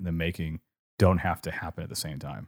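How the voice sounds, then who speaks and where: A man speaks with a very deep, low pitch and fairly even intonation. The sound is dry and close with no echo, on a very clean recording with a silent background. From California. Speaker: podcast host, art discussion. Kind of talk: casual chat podcast conversation.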